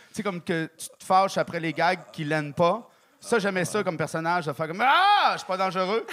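A man's high-pitched voice at a moderate pace, fairly even in intonation, with noticeable background noise. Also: big swings in loudness. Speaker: guest judge, comedian. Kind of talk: casual chat. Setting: stage with audience.

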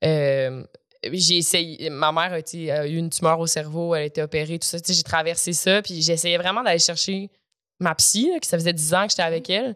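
With a normal speaking voice, a woman speaks at a moderate pace, her fairly low pitch showing ordinary variation. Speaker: actress and comedian. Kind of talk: casual chat. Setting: studio.

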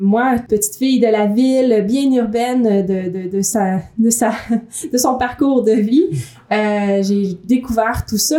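A woman speaks at a fairly high pitch with a dark, mellow tone. Her pitch variation is ordinary. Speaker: magazine editor and podcast co-host. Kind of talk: casual chat. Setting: echoey room. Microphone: room echo.

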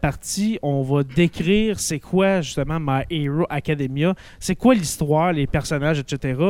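A man with a Quebec accent speaks in a fairly high voice at a fairly slow pace. He takes hardly any pauses, and his pitch varies in an ordinary way. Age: 30s. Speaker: teacher and school podcast host. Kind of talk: casual chat.

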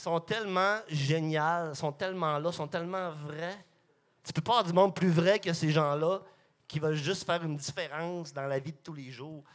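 At a moderate pace, a normal speaking voice keeps a fairly even intonation on a very clean recording with a silent background. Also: man, fairly high pitch for a man. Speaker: microbrewery co-owner. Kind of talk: casual chat.

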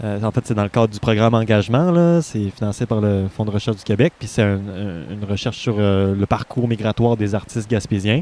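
With hardly any pauses, a man talks at a fairly quick pace in a fairly low, dark, mellow tone, his pitch varying in an ordinary way, the sound dry and close with no echo. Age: 20s. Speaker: artist. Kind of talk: casual chat. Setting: outdoors.

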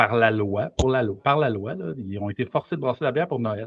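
Using lively intonation, a man speaks at a medium pitch in a plain, everyday voice. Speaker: brewery and restaurant owner. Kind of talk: casual chat.

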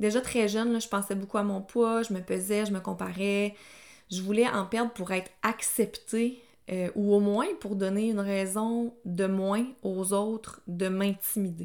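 A woman with a Quebec accent, monotone, flat intonation and a fairly slow pace. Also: medium pitch for a woman. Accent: Québécois French. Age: 30s. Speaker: nutritionist. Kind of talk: personal testimony monologue. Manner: casual, conversational.

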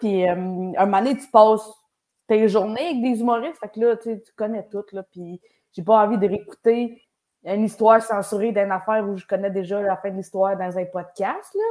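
A woman at a medium pitch with a Quebec accent, a dark, mellow tone, fairly even intonation and big swings in loudness. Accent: Québécois French. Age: 20s. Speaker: comedian. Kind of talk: casual interview. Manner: talkative.

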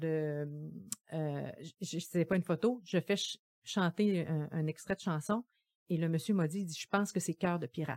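The voice, recorded dry and close with no echo, moves at a fairly slow pace with ordinary pitch variation. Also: woman. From Gaspésie, Quebec. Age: 50s. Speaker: social worker. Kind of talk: podcast interview.

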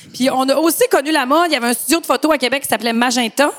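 At a very fast pace, a woman with high pitch and ordinary pitch variation speaks over noticeable background noise. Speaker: podcast co-host. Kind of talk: casual chat.

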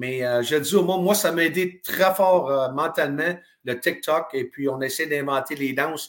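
Speaking with a Quebec accent, the voice moves at a fairly slow pace with ordinary pitch variation. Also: man, fairly high pitch for a man. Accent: Québécois French. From Quebec (Drummondville). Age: 50s. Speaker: retired hockey player. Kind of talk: interview.

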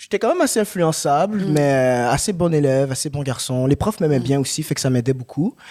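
Here is a man with an ordinary speaking voice, fairly high in pitch with ordinary pitch variation. He talks at a fairly quick pace. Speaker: actor. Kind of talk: casual chat.

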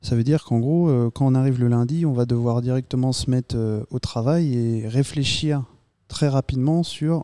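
A man speaks at a medium pitch with fairly even intonation and a dark, mellow tone. The recording is very clean with a silent background and a dry, close sound with no echo. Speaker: communications student. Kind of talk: casual round-table chat.

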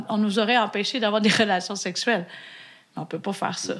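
Very fast speech from a woman with a Quebec accent, fairly high in pitch, with ordinary pitch variation. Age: 40s. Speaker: physician and podcast co-host. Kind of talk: casual chat.

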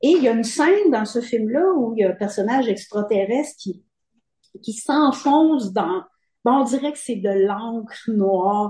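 A woman's plain, everyday voice, fairly high in pitch, with lively intonation at a fairly slow pace. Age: 50s. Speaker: novelist. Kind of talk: interview.

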